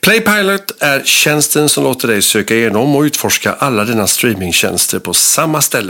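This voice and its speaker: The speech moves at a moderate pace with very wide pitch swings over noticeable background noise. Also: man. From Gothenburg, Sweden. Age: 50s. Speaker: film podcast host. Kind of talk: interview.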